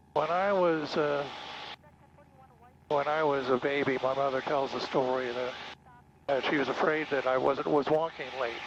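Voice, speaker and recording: A man with an American accent and a fairly high pitch speaks at a moderate pace with fairly even intonation and long, frequent pauses, over noticeable background noise. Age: 60s. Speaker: private pilot. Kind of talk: casual flight narration. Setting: in small airplane cockpit. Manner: halting.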